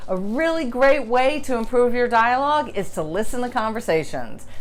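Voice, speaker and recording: Audible room echo hangs around a woman speaking at a fairly high pitch. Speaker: writing teacher. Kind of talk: tutorial. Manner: fast; casual, filler-heavy.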